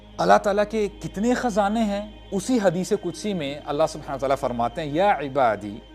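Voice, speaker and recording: A man is talking, his intonation lively. Behind him, music plays. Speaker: Islamic preacher. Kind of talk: Islamic sermon (bayan) in Urdu with English phrases mixed in. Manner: emotional, devotional.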